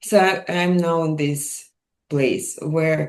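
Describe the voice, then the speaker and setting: A woman with a Russian accent speaks at a very slow pace, with ordinary pitch variation. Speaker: mind and wellness coach. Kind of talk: interview. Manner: hesitant.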